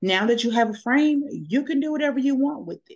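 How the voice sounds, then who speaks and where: A woman speaks at a moderate pace. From Texas, Dallas-Fort Worth area. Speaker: design tutorial creator. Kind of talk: tutorial. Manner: halting with fillers.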